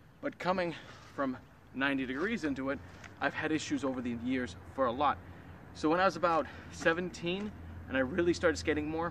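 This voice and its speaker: There is noticeable background noise behind the speaker. He is a man with a fairly high voice. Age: 20s. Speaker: amateur skateboarder vlogger. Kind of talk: casual vlog. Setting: outdoors at skate spot. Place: street. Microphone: camera far.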